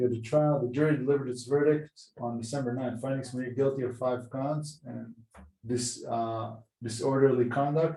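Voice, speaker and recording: With an Israeli accent, a man speaks at medium pitch and a moderate pace in a somewhat breathy, dark, mellow tone with monotone, flat intonation. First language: Hebrew. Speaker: podcast host. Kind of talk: casual chat.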